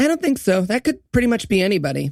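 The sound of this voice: A man talks fast in a put-on character voice, pitched high for a man with big pitch swings and vocal fry. The tone is slightly mellow, and the recording is very clean with a silent background.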